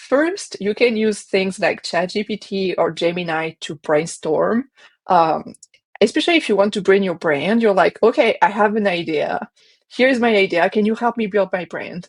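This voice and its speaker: Speaking at a moderate pace with a French accent, a woman uses lively intonation at a medium pitch, the sound dry and close with no echo. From France. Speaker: marketing agency founder and designer. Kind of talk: interview.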